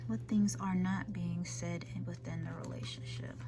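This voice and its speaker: Someone soft-spoken talks at a fairly slow pace over noticeable background noise. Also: woman. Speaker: tarot reader. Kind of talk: tarot card reading to camera.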